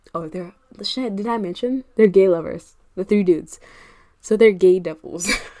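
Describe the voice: Ordinary pitch variation in plain reading aloud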